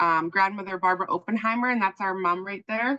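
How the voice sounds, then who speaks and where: Loud and bright with a sharp tone, a woman at a medium pitch talks at a fairly quick pace with fairly even intonation. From Okanagan, British Columbia (syilx Nation). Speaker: journalism trainer. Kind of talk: workshop presentation. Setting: video call.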